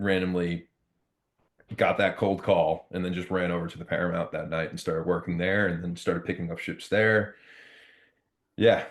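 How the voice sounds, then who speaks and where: A man with an American accent speaks at a moderate pace in a very deep, low voice, his intonation flat and monotone, with long, frequent pauses against a quiet background. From Long Island, New York. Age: 30s. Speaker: hardcore band musician and venue lighting technician. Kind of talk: casual interview chat. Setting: podcast interview. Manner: many fillers and restarts.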